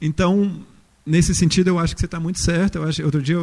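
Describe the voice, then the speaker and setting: Dark, mellow tone and a somewhat breathy quality in a man's voice. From interior of Minas Gerais, Brazil. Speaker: architect and university professor. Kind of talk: panel talk.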